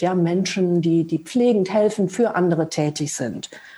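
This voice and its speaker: The woman talks at a moderate pace, her pitch varying in an ordinary way, with noticeable noise behind her. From Lower Rhine region, Germany. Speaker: translator and mindfulness teacher. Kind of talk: casual interview conversation. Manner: halting, many filler sounds.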